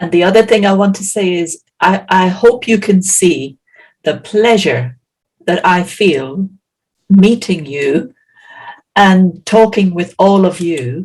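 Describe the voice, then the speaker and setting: A woman's somewhat breathy, medium-pitched voice in an Irish accent, at a very slow pace with ordinary pitch variation. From Ireland. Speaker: healer and science teacher. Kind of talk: interpreted presentation.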